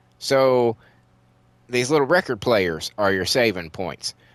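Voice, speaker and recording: Recorded very cleanly against a silent background with a dry, close sound and no echo, a man with an American accent talks at a moderate pace using lively intonation. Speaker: gaming YouTuber. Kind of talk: let's play commentary. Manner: casual, halting.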